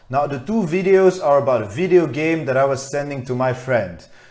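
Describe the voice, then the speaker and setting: A man speaks in a fairly high voice with very wide pitch swings. Music plays in the background. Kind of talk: casual talk to camera.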